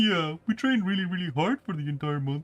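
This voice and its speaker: A man puts on a whiny character voice, high in pitch with lively intonation. He talks at a very fast pace. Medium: virtual streamer. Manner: whiny, earnest.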